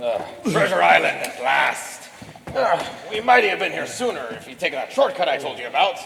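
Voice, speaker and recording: Using a put-on character voice pitched high, a man talks at a fairly quick pace with clear echo. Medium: stage play.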